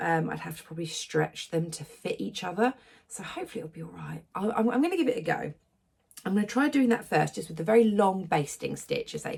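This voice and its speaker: At a very fast pace, a woman speaks with big swings in loudness. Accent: English. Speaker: sewing vlogger. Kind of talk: casual vlog talk. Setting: hotel room. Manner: quiet; hesitant, many fillers. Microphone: echoey room.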